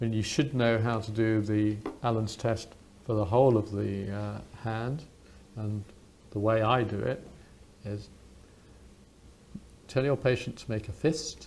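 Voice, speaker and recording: Speaking with a British accent, a man talks at a fairly slow pace in a medium pitch with ordinary pitch variation, taking long, frequent pauses. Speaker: doctor, clinical teacher. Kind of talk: medical teaching demonstration, unintentional ASMR.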